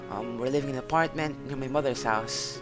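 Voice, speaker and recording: With music playing behind him, a man talks at a fairly high pitch using ordinary pitch variation. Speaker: amateur horror story reader. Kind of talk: horror story reading.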